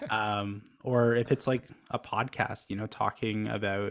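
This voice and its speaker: In a dry, close recording with no echo, a man speaks fairly slowly at a fairly low pitch with monotone, flat intonation. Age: 20s. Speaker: startup founder. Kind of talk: podcast interview. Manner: flat, little inflection.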